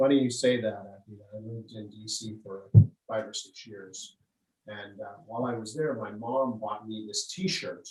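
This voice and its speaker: With fairly even intonation, this man's voice comes out somewhat breathy. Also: medium pitch for a man, moderate pace. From Pittsburgh. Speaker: realtor. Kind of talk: casual interview. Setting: video call.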